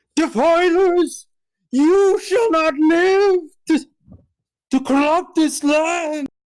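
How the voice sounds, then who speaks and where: A put-on character voice at an extremely high pitch drags along at a very slow pace. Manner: dramatic, theatrical.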